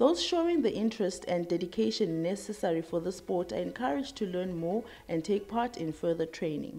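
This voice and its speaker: Her tone dark and mellow, a woman talks at a fairly quick pace with lively intonation and hardly any pauses. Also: medium pitch for a woman. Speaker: TV presenter. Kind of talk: scripted narration.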